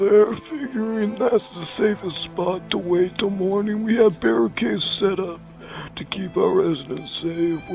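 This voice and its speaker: Over clear background music, a man in a put-on character voice talks fairly slowly at a high pitch. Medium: read story. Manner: nervous, deferential.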